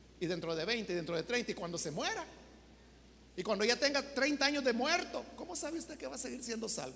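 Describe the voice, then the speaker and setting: The talking moves at a fairly quick pace, and noticeable background noise is present. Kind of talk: sermon.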